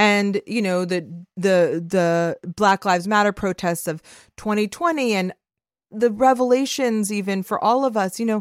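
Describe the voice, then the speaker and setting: An ordinary speaking voice: a woman with an American accent talks at a fairly slow pace, her pitch fairly high with ordinary variation. The sound is dry and close, with no echo. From Los Angeles, US. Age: 40s. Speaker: podcast host and media founder. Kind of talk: casual chat. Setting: remote call from home.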